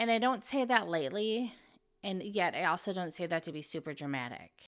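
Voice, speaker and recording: A woman with an American accent has a normal speaking voice, medium pitch and lively intonation. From United States. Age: 40s. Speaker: expat lifestyle vlogger. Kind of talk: casual talk to camera. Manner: reflective, earnest.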